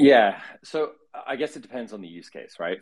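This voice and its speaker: A man speaks with very wide swings in pitch. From Australia, raised partly in the US. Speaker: crypto startup founder. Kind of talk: interview. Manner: many fillers and repetitions.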